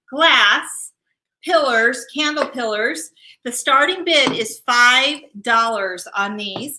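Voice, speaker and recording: At a very slow pace, a woman speaks in a high pitch with a bright, sharp tone and lively intonation. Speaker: auction co-host, sales consultant. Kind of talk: live-streamed charity auction. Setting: live video stream. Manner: animated. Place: office. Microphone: webcam.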